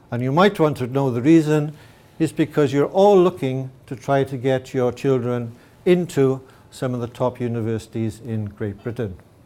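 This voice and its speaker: The voice has a dark, mellow tone and a Welsh accent. It moves at a moderate pace with ordinary pitch variation. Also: man, medium pitch for a man. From Wales. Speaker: mathematics teacher. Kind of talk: presentation.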